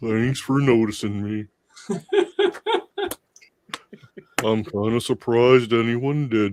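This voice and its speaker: A man talks at a fairly slow pace in a put-on character voice. He leaves long, frequent pauses. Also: medium pitch for a man. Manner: mopey, glum.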